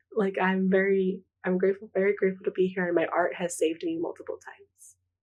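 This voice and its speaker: A woman with a Spanish accent at a very fast pace, medium pitch and fairly even intonation. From US West Coast, Pomona, California. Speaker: artist. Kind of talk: interview.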